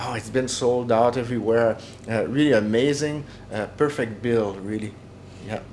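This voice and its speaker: Speaking with a Quebec accent, a man keeps a medium pitch, fairly even intonation and a moderate pace. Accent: Québécois French-accented English. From Quebec (Jonquière). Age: 60s. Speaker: metal drummer. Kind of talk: interview. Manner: halting, many fillers.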